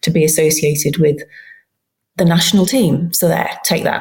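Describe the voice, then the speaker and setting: The voice is somewhat breathy. It moves at a fairly quick pace. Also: woman. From England. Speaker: football journalist. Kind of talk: casual chat. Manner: animated.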